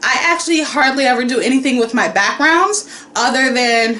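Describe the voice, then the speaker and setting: A woman speaks at a moderate pace in a high voice with lively intonation, with audible room echo and noticeable background noise. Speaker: painter and art vlogger. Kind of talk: casual vlog talk. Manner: loud, excitable.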